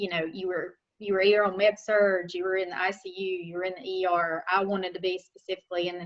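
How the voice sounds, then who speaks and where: A woman with a Southern accent speaks at a medium pitch in a flat, monotone way. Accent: local Southern. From western North Carolina, Caldwell County. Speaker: nurse and nursing instructor. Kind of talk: talk to a club. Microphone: unstable internet connection.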